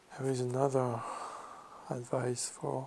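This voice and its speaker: A man with a French accent speaks very slowly at a medium pitch, his relaxed tone dark, mellow, and somewhat breathy. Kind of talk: ASMR magazine reading and commentary. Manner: slow, relaxed.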